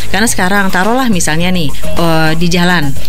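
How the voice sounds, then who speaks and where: Music is audible in the background. Over it, a woman speaks at a very fast pace. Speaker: former radio announcer. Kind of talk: casual interview. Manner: chatty.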